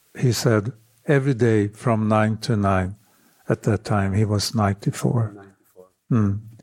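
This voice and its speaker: Spoken with a Swedish accent and ordinary pitch variation. The loudness swings widely from moment to moment. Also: man, fairly low pitch for a man, fairly slow pace. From northern Sweden. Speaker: architectural photographer. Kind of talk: interview. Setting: home apartment.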